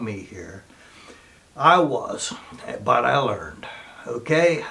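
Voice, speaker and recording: At a very slow pace, a man talks with a fairly high pitch amid audible room echo. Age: 60s. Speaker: recording studio owner and musician. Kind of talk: casual monologue to camera. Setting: home recording studio.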